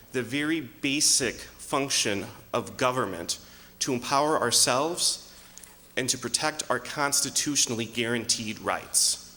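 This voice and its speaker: A man with a plain, everyday voice speaks at medium pitch and a fairly slow pace, with ordinary pitch variation and very even loudness. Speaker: political candidate. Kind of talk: debate opening statement. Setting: stage with audience in a church.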